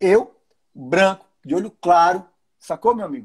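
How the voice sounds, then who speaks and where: An animated male voice at a moderate pace, with very wide pitch swings. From Brazilian Northeast. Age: 40s. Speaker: livestream host. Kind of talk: casual chat.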